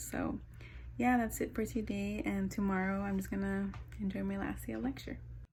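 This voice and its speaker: Audible room echo surrounds a woman's voice. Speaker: vlogger, student in a clinical training program. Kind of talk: casual vlog.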